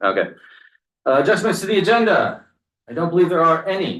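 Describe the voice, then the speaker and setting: A man talks at a fairly quick pace with vocal fry. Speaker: select board chair. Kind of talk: public meeting chairing. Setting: town meeting room. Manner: fast.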